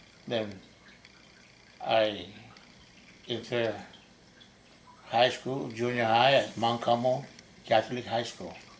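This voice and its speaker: Over noticeable background noise and audible room echo, a man speaks at a very slow pace with long, frequent pauses and fairly even intonation. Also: medium pitch for a man. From Saipan, Northern Mariana Islands. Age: 70s. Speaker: army veteran. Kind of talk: oral history interview. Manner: halting.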